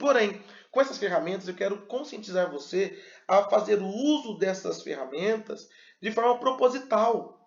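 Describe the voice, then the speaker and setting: The speech moves at a moderate pace, with lively intonation and an animated tone. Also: man. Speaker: pastor and communication teacher. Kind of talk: lecture. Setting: video recorded to camera. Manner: animated, varied pace and pitch.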